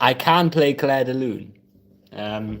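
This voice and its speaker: This man's pitch moves in an ordinary way. He talks at a very slow pace. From northeast England. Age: 20s. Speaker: piano live streamer. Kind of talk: casual chat. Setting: live stream. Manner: relaxed, halting with fillers.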